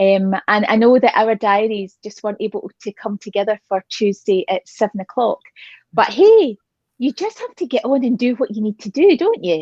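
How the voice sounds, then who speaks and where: A woman with a Scottish accent speaks at a moderate pace and a fairly high pitch, somewhat breathy. The sound is dry and close, with no echo. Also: ordinary pitch variation. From Scotland. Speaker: talk show host. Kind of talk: casual chat interview. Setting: phone video stream from a glamping pod. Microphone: phone.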